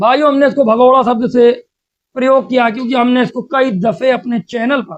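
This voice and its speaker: The man's voice sits at an extremely high pitch. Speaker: religious debate commentator. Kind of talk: polemical commentary. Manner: animated.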